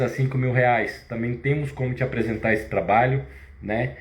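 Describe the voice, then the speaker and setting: Speaking at a moderate pace and medium pitch, a man is heard with audible room echo and noticeable background noise. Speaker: fitness business owner and live host. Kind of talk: live stream sales pitch. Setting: live stream. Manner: halting.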